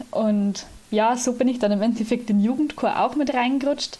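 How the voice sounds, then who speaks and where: A woman speaks at a moderate pace with fairly even intonation. Her voice sits fairly high in pitch, with a dark, mellow tone. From Lower Bavaria, Germany. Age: 20s. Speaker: student and church volunteer, organist. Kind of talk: interview.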